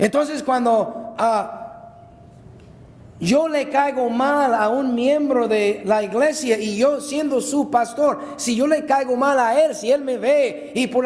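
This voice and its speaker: This man talks at a very slow pace with extremely high pitch and fairly even intonation. Audible echo from the room surrounds his voice. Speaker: pastor. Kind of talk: sermon. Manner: loud, shouting at times.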